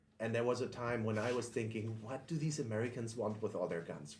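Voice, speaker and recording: Somewhat breathy and at a medium pitch, a man speaks at a fairly quick pace amid audible room echo. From Germany. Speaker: podcast host and firearms instructor. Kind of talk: podcast monologue intro. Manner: casual with frequent filler ums.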